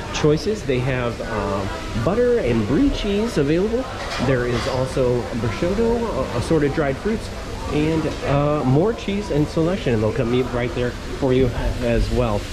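A man at a fairly slow pace over clear music in the background. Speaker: travel vlogger. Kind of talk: casual vlog tour commentary. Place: hall. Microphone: phone near.

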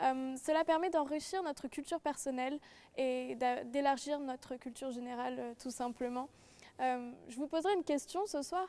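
A high-pitched female voice with a dark, mellow tone, ordinary pitch variation and a moderate pace. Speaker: law student. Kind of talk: panel presentation. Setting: studio. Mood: enthusiastic, promotional. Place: hall.

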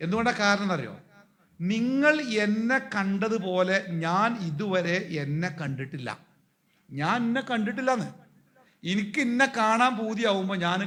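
High-pitched male voice with lively intonation. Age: 50s. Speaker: Islamic preacher. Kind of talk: talk to teenagers. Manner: animated.

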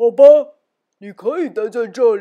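Using a put-on character voice, a woman speaks at a moderate pace with fairly high pitch. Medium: read story.

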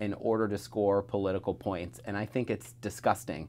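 This man's voice sits at a fairly low pitch. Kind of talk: interview answer. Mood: earnest, critical. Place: office.

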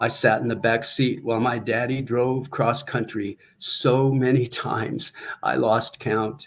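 Over light background noise, a man with an American accent talks at a fairly slow pace with monotone, flat intonation. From US Midwest, small-town Iowa. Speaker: retired teacher and poet with Parkinson's; guest. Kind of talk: poetry reading, a free-verse river poem performed aloud in numbered sections. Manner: slow, measured and reflective, with deliberate pauses between images; hesitant, with repeated words and restarts. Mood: reflective, measured. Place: home room. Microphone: webcam.

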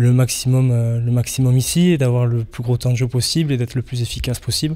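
This is a man whose voice has a dark, mellow tone. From Bordeaux, southwest France. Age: 20s. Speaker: rugby player. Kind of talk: interview. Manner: halting, many fillers and repetitions. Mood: cheerful, eager. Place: home room. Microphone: handheld.

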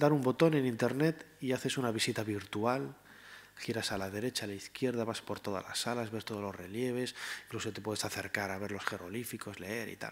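Big swings in loudness mark a man's speech at a fairly quick pace. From Spain, León; Spain. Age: 40s. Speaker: historian and writer; panelist. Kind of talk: panel discussion. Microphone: podium.

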